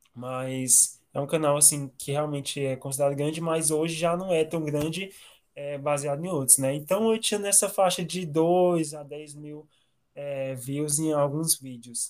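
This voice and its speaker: A man speaks at a fairly slow pace in an ordinary speaking voice, his pitch fairly high and his intonation fairly even. The recording is very clean, with a silent background. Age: 20s. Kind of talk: casual interview.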